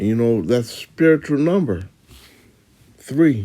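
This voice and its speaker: A man with a dark, mellow tone talks at a fairly slow pace. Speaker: religious teacher giving lessons. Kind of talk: testimony. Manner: halting.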